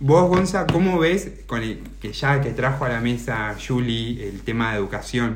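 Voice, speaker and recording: A man with an Argentine accent at a medium pitch, fairly slow yet with hardly any pauses, lively intonation, audible room echo and noticeable background noise. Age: 30s. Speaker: podcast host. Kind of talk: interview.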